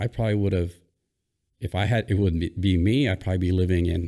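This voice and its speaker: A man with a Hawaiian accent and a very deep, low voice with a dark, mellow tone speaks at a fairly quick pace with ordinary pitch variation, on a very clean recording with a silent background. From Hawaii, Oahu. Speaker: former Navy SEAL. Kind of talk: casual interview.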